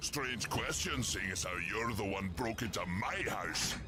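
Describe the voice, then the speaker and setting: A man's put-on character voice at a fairly low pitch, moderate pace and very even loudness, over loud background noise. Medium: video game. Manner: gruff, wry.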